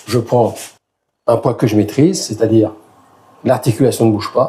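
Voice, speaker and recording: Fairly slow and somewhat breathy, a man speaks at a medium pitch with a dark, mellow tone. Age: 60s. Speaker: fitness youtuber. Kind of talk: tutorial. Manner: casual.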